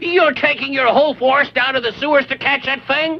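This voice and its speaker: A cartoonish character voice comes through at a high pitch and a fairly quick pace. Background noise is clearly audible. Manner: pompous, chatty.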